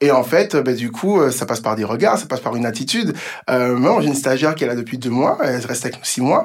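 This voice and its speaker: Lively intonation marks a man talking at a very fast pace in a medium pitch, with noticeable background noise. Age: 30s. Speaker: entrepreneur. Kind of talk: interview.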